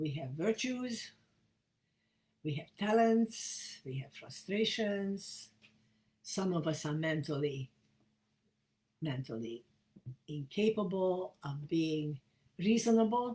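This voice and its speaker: At a very slow pace with long, frequent pauses, a woman speaks fairly low-pitched in a dark, mellow, somewhat breathy tone with very wide pitch swings. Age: 80s+. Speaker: feminist spiritual leader. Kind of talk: talk to camera.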